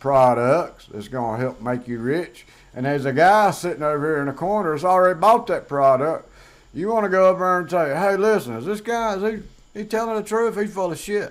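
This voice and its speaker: A man with a Southern US accent talks at a fairly quick pace with a high pitch. His pitch swings very widely and his loudness shifts a lot. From US South. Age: 50s. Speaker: YouTuber. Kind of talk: casual vlog monologue. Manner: conversational with fillers.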